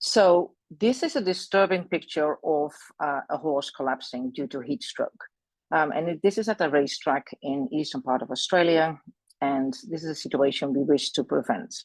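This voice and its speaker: A woman with a Dutch accent speaks in a very deep, low pitch with lively intonation, recorded dry and close with no echo against a quiet background. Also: moderate pace. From Netherlands. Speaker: equine veterinary specialist and lecturer. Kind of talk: presentation. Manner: halting, many fillers.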